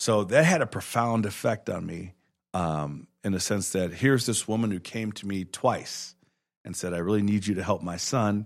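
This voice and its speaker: A man with an American accent uses a normal speaking voice at fairly low pitch, speaking at a moderate pace with ordinary pitch variation. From Chicago. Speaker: judge. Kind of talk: casual interview. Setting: studio.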